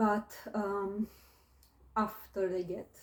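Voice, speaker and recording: A somewhat breathy woman speaks with a non-native accent. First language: not English. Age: 20s. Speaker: vlogger. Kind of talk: casual monologue vlog. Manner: hesitant, many fillers.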